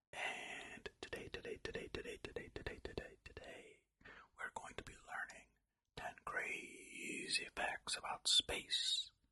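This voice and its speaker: A man whispering at a fairly slow pace. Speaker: ASMR creator. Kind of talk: ASMR reading facts. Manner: soft-spoken.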